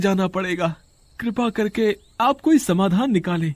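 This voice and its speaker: Putting on a whiny character voice, a man speaks at a high pitch and a moderate pace. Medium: cartoon. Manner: whiny, fearful.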